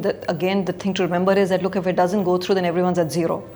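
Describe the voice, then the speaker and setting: Talking very fast in a flat monotone, a woman of medium pitch is heard over noticeable background noise. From India. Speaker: investment banker. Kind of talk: interview.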